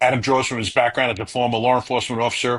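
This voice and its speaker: At a very fast pace, a man with an American accent speaks at medium pitch in a bright, sharp tone. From northern US. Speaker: podcast host. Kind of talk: reading a prepared guest introduction; podcast interview.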